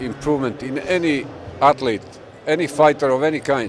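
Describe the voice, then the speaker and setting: This man speaks with a fairly high pitch and ordinary pitch variation over noticeable background noise. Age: 60s. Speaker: fitness trainer, endurance lifting record holder. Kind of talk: interview answer.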